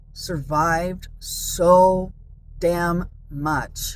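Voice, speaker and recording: A woman speaks at a fairly low pitch with ordinary pitch variation. Room echo is audible. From San Diego, California. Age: 50s. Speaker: vlogger. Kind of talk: personal monologue. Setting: in a car.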